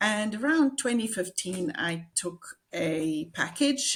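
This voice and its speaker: A somewhat breathy woman speaks at a very slow pace with a South African accent. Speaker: executive and business coach. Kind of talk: interview.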